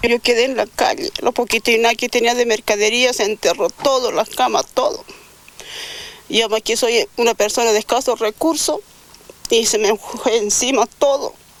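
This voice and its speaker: A woman's fairly high voice carries ordinary pitch variation at very even loudness. The sound is dry and close with no echo, though noticeable background noise comes through. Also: moderate pace. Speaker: earthquake victim. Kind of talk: news interview testimony.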